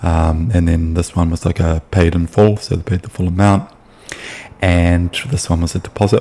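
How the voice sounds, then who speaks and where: A man speaks with a New Zealand accent. His pitch is very deep and low, and his intonation stays fairly even. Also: moderate pace. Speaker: sales appointment setter. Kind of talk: casual explainer video. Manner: hesitant, many fillers.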